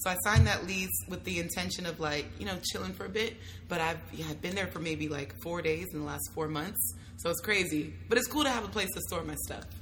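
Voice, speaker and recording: Noticeable background noise accompanies a woman speaking fairly quickly in an American accent. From US, California Bay Area. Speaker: travel blogger. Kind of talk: casual chat. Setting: in-person at a festival. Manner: animated.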